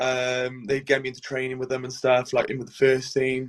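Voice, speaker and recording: At a medium pitch, a man talks at a fairly quick pace. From Wales, Cardiff. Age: 20s. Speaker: professional goalkeeper. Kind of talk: podcast interview.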